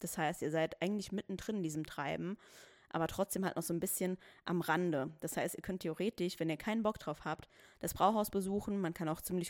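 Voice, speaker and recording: A woman with a normal speaking voice talks at a fairly low pitch with fairly even intonation. The recording is very clean, with a silent background and a dry, close sound with no echo. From Saarland, Germany (Saarbrücken). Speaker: podcast host. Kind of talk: casual solo podcast talk. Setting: home recording.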